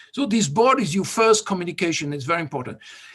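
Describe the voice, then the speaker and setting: A man with a slight French accent and a high pitch. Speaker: vehicle dynamics expert and competition judge. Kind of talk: workshop presentation.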